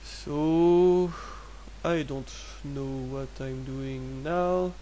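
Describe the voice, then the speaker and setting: A man speaking very slowly in a French accent. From France. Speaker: 3D artist. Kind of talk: software tutorial narration. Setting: low-quality microphone. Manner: hesitant, casual.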